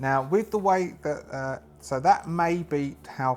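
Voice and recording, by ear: The pace is slow, with ordinary pitch variation. The tone is slightly mellow. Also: man.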